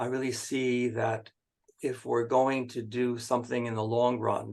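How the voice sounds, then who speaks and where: With vocal fry, a man talks at a moderate pace in a monotone, flat intonation. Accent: American. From US Northeast, Connecticut. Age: 80s+. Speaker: philosopher and activist. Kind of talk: interview conversation. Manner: halting, many fillers.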